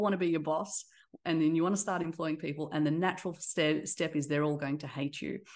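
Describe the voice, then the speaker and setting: In a quiet background, a woman with an Australian accent talks at a very fast pace in a fairly low pitch. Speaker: tech company CEO. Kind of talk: interview conversation. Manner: halting, with fillers.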